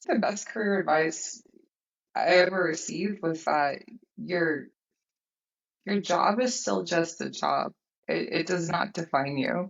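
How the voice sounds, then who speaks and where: A woman's fairly low, fairly slow voice with vocal fry, ordinary pitch variation, and long, frequent pauses. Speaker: sales and operations leader. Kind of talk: casual interview.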